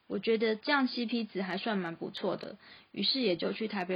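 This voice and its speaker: At a moderate pace, a woman speaks in a Taiwanese accent, her voice somewhat breathy. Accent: Taiwanese Mandarin. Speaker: freelance graphic designer and podcast host. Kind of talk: scripted narration.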